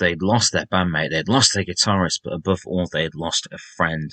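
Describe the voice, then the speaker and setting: Over a quiet background, in a dry, close sound with no echo, a man with a slight Sheffield accent speaks at a very deep, low pitch, his tone bright and sharp and his intonation fairly even. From Sheffield, northern England. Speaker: rock music podcaster, former music journalist. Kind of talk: podcast monologue.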